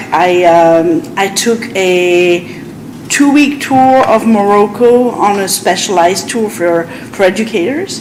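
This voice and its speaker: Speaking very slowly in a French accent, a woman uses a medium pitch and lively intonation. Audible room echo and noticeable background noise fill the recording. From France. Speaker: French teacher. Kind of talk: public meeting presentation. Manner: halting.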